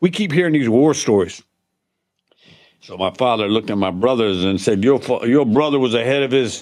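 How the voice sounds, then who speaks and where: Against a quiet background, a man with a Louisiana accent talks with lively intonation. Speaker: war veteran. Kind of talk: casual chat.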